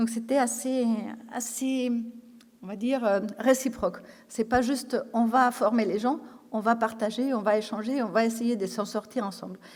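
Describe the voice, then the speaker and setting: Speaking with a Spanish accent, a woman keeps a fairly high pitch and fairly even intonation. Her pace is fairly slow, with long, frequent pauses. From Spain. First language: Spanish (speaking French). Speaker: intensive care nurse trainer. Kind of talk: conference talk. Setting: conference stage with audience. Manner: hesitant, many fillers and repetitions.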